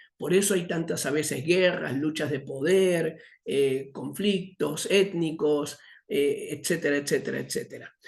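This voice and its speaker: Intonation is kept fairly even. The speech unfolds at a fairly slow pace. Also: man, fairly high pitch for a man. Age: 60s. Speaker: missions teacher. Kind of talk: lecture. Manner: halting, many fillers.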